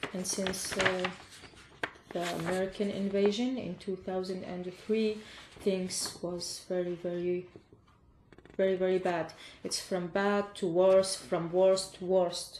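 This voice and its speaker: A woman at a very slow pace, monotone and flat, with long, frequent pauses and noticeable background noise. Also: medium pitch for a woman. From Iraq. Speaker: refugee. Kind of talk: interview. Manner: halting.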